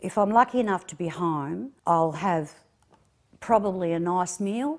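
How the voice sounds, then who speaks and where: A woman with an Australian accent at medium pitch and a fairly slow pace, ordinary pitch variation, very clean recording with a silent background. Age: 60s. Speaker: terminally ill patient. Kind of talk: interview.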